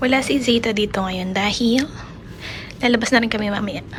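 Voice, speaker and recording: Fairly even intonation at a moderate pace comes through noticeable background noise and audible room echo. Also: woman. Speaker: family vlogger. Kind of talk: casual vlog. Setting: hospital room.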